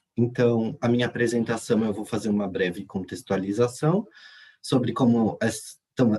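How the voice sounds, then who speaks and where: A man speaks at a fairly slow pace, his pitch medium and his intonation ordinary in its variation. The tone is dark and mellow, with a somewhat breathy edge. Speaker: graduate student presenter. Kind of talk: conference presentation. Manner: halting, many fillers.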